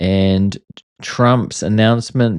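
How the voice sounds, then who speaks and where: A man talks at medium pitch with ordinary pitch variation. The sound is dry and close with no echo, over a quiet background. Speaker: politics commentary host. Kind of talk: unscripted news commentary. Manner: fast; casual, unedited.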